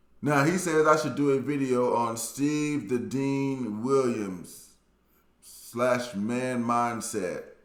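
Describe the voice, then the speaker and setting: With an American accent and ordinary pitch variation, someone speaks at a very slow pace amid audible room echo. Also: man, medium pitch for a man. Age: 40s. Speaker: YouTuber, dating commentator. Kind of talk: casual monologue commentary. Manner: animated.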